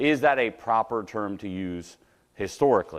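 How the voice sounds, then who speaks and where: This is a man's voice, captured in a very clean recording with a silent background. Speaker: Bible class teacher. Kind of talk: Bible class lecture. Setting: church classroom with speaker system. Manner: loud; halting, many fillers.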